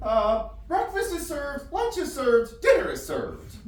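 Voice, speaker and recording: A put-on character voice, extremely high-pitched with very wide pitch swings, at a moderate pace, with light background noise and slight echo. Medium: stage play.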